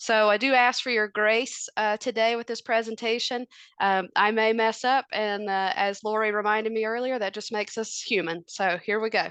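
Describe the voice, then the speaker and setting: A woman's fairly high voice with a Southern US accent, fairly even intonation and hardly any pauses, dry and close with no echo, against a quiet background. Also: moderate pace. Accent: Southern US twang. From US South, North Carolina. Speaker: family physician. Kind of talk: presentation.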